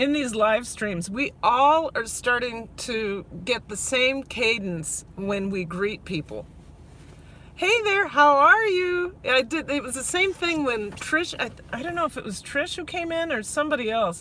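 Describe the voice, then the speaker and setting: A woman speaks in a raised, projected voice with a high pitch and very wide swings in pitch. Her pace is fairly slow. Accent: Minnesotan. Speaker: vlogger. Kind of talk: live stream chat while driving. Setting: in a car. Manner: halting, many fillers.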